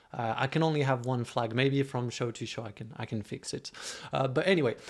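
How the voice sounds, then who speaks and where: At a fairly quick pace, a man with a French accent speaks at a medium pitch with ordinary pitch variation. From France. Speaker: streaming show host. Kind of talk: casual livestream chat. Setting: livestream.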